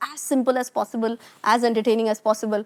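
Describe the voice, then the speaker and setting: Speech comes at a very fast pace. The sound is dry and close, with no echo. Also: woman. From India, Pune (Maharashtra). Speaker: finance educator. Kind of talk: interview conversation.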